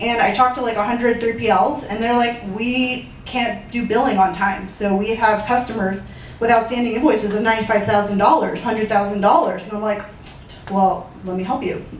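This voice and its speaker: A woman's fairly high voice at a fairly quick pace with fairly even intonation, amid noticeable background noise and audible room echo. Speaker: startup founder. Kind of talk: startup pitch and Q&A. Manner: fast.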